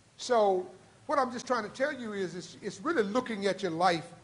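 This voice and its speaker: An animated tone and lively intonation at a moderate pace, with audible room echo. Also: man. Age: 70s. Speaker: lecturer and former executive giving talk to students. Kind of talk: lecture with audience Q&A. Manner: rambling.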